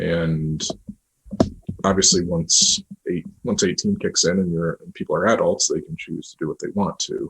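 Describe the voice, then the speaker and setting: A man with an American accent talks at a moderate pace. The sound is dry and close, with no echo. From US, New York State. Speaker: adoptive parent. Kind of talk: podcast interview.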